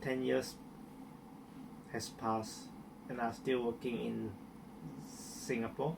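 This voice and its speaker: A man speaks with long, frequent pauses. Room echo is audible. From Malaysia, Miri, Sarawak. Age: 30s. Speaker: hairdresser. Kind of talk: interview testimony. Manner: halting, with repetitions.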